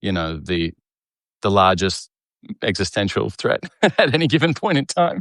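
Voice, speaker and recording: A man with an Australian accent at a fairly low pitch and moderate pace, very wide pitch swings and long, frequent pauses, in a dry, close sound with no echo and a very clean recording with a silent background. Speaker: cartoonist and comedian, show host. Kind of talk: casual live video chat. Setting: live video stream.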